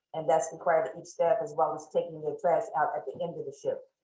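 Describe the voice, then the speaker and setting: Audible room echo surrounds the voice. A woman talks at a very fast pace. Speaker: shelter manager presenting. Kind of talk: presentation at online town hall.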